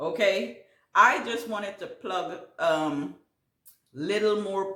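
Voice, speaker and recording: Speaking at a very slow pace, a woman with a Caribbean accent uses lively intonation amid audible room echo. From Guyana. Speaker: gardening YouTuber. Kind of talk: casual Q&A vlog. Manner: halting, many fillers.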